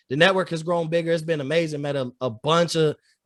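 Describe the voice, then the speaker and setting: Very clean recording of a man, silent background, dry, close sound with no echo, ordinary pitch variation. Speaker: sports podcast host. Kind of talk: casual chat. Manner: loud; energetic.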